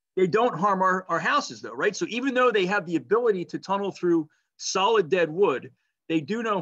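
Over a quiet background, a man with a high pitch and a bright, sharp tone sounds animated and enthusiastic, using lively intonation at a moderate pace. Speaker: naturalist presenter. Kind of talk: nature documentary narration. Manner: animated, vivid storytelling; conversational, enthusiastic. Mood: enthusiastic, warm. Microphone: webcam.

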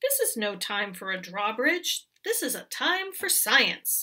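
A woman uses a put-on character voice with a bright, sharp tone and big pitch swings. She speaks at a fairly slow pace. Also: fairly high pitch for a woman.

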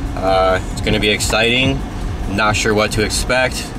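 Music plays behind a man with a fairly low pitch, the sound dry with no echo. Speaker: channel host. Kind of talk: casual vlog chat. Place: car. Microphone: phone near.

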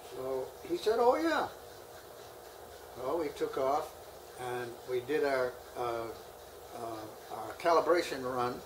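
With an American accent, the speaker goes at a very slow pace with long, frequent pauses, and there is noticeable background noise. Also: man. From United States. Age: 90s. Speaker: WWII pilot. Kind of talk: interview answer. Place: home room.

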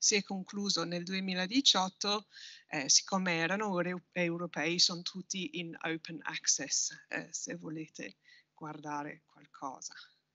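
Speaking very slowly with an English accent and ordinary pitch variation, the voice comes through as a dry sound with no echo over a quiet background. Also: woman. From Britain. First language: English (speaking Italian). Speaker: university researcher, political sociologist. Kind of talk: conference presentation. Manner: halting, many fillers. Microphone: video call.

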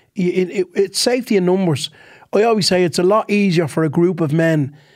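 A man talks at a fairly quick pace with an Irish accent. The background is quiet. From Ireland. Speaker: comedian. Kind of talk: casual chat. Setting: studio. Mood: earnest, reflective. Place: studio. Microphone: studio mic.

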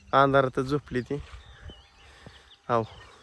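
A man's voice with fairly even intonation. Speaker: farmer vlogger. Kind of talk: casual vlog.

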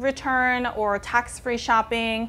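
A woman talks at a fairly slow pace in a bright, sharp tone, her intonation fairly even. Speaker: fashion vlogger. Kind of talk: casual vlog tutorial. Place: home room. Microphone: lapel.

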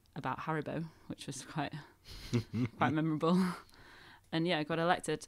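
A woman with a very deep, low pitch speaks at a fairly quick pace. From Northern England. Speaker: Christmas decorator. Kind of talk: interview answer.

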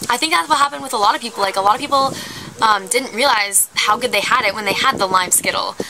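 Speaking at a very fast pace with lively intonation, this voice comes through over noticeable background noise. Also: woman. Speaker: YouTube vlogger. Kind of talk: comedic mock-outraged rant to camera about candy. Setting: outdoors on a windy day. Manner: exasperated, incredulous, heavy filler words like 'like' and 'um'; melodramatic, overreacting for comic effect. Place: garden. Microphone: camera far.

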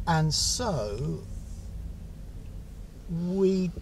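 Over music in the background, a man speaks in a dry recording with no echo. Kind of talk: casual vlog chat. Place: car. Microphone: camera far.

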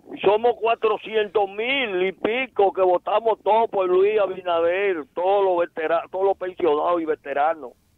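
In a Dominican accent, a man talks at a high pitch and a fairly slow pace with ordinary pitch variation, very even loudness and hardly any pauses. The sound is dry with no echo, over a quiet background. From Dominican Republic. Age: 80s+. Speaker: retired veteran caller; radio show guest or host. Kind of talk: call-in plea. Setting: phone call. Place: studio.

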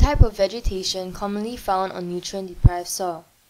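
At a medium pitch, a woman talks in an unremarkable speaking voice. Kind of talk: nature documentary narration, scripted and informative. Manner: measured, even-paced and formal, like a calm educational narrator; clear and precise, with a neutral, slightly curious tone.

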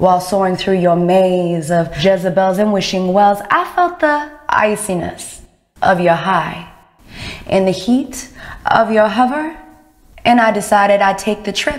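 Delivered at a fairly slow speed, this is an ordinary speaking voice. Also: woman, medium pitch for a woman, lively intonation. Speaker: poet. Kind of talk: spoken word poetry performance.

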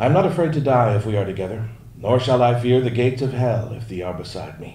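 Audible room echo fills the recording. A man speaks in a theatrical tone. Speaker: audiobook narrator reading fan-submitted text to a convention audience. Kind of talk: mock-romantic poetry reading performed aloud for laughs, interrupted by his own asides. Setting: stage with live audience at a fan event. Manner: theatrical, overwrought love-poem delivery played straight for comedy; breaks into laughter and ad-libbed asides between lines. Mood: mock-solemn, deadpan humor. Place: stage. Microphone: podium.

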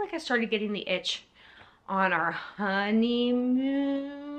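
Her bright, sharp tone rides a fairly high pitch, and the woman's intonation stays lively. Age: 40s. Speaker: YouTuber. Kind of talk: casual storytime monologue. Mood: warm, reflective. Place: home room. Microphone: phone near.

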